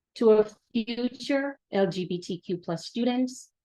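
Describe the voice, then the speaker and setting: A woman with a Jamaican accent at a very slow pace, with ordinary pitch variation. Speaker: academic administrator and panel speaker. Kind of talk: welcome address. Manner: formal.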